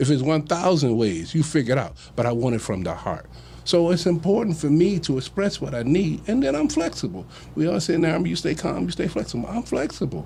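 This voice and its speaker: Pitched fairly high, a man talks at a very fast pace with vocal fry and very wide pitch swings. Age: 60s. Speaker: relationship discussion panelist. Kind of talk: casual chat. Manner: halting, many repeated words.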